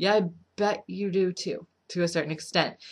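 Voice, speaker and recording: A woman mumbles at a moderate pace. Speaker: vlogger with BPD giving advice. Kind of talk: casual vlog advice. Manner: mumbling; casual, filler-heavy.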